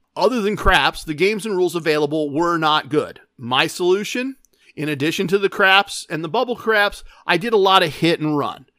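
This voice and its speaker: A man's animated, high-pitched delivery with lively intonation and a fairly quick pace, in a very clean recording with a silent background. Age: 50s. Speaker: gambling podcast host. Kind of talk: casual monologue.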